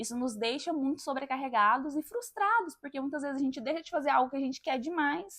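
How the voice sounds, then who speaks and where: A woman's high-pitched, raised, projected voice at a fairly quick pace, with lively intonation. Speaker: podcast host. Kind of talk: personal monologue.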